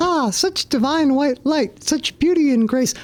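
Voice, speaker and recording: A put-on character voice, pitched high. It moves at a moderate pace. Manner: exalted, reverent.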